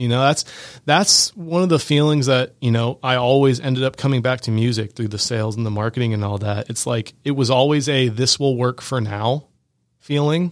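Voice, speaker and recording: On a very clean recording with a silent background, a man with an American accent and an ordinary speaking voice speaks at a moderate pace and medium pitch with ordinary pitch variation. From Georgia, US. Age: 20s. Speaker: music composer. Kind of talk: interview. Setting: studio.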